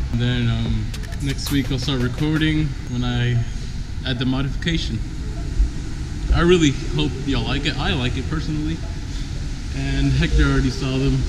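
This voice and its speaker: A man at a moderate pace, long and frequent pauses, noticeable background noise. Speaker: car vlogger. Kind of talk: casual vlog chat. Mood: upbeat, relaxed. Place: garage. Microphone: phone near.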